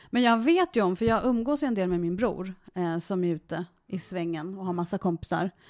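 On a very clean recording with a silent background, a woman speaks in an unremarkable speaking voice at a medium pitch with ordinary pitch variation. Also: moderate pace. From Sweden, Värmdö. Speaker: interviewee, adoptee. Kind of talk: casual interview.

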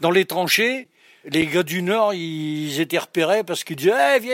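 A man is recorded with a dry, close sound and no echo. The recording is very clean, the background silent. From northern France, Picardy. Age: 70s. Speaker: speaker on regional dialect. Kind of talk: interview monologue.

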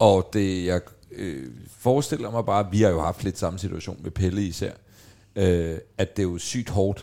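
Speaking at a fairly slow pace, a man has a very deep, low pitch and a dark, mellow tone. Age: 40s. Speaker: podcast host. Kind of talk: casual chat.

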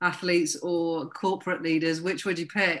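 Here a woman speaks at a moderate pace. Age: 50s. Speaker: podcast host and life coach. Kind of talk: interview.

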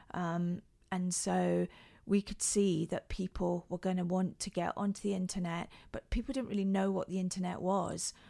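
In a Scottish accent, a woman speaks at medium pitch and a moderate pace. Her tone is dark and mellow, and her intonation stays flat and monotone. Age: 50s. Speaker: handbag designer and former tech CEO. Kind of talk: interview.

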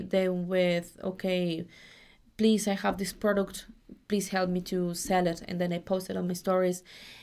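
A woman with a Spanish accent speaks at a moderate pace in a medium pitch. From Mexico. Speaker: au pair and student agency worker. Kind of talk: casual interview. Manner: halting, many fillers.

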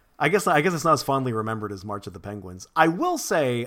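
This is a man with an ordinary speaking voice at a medium pitch. The recording is very clean, with a silent background. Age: 30s. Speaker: podcast host. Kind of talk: casual chat.

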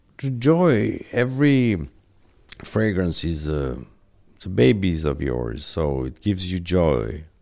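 A man with a very deep, low pitch and a dark, mellow tone speaks at a very slow pace, his pitch swinging very widely, with audible room echo. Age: 50s. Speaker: perfumer. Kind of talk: interview.

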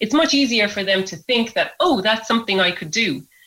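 A woman speaks with an Irish accent. Her tone is bright and sharp. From Ireland, Kilkenny. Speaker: environmental scientist and activist. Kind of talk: radio interview.

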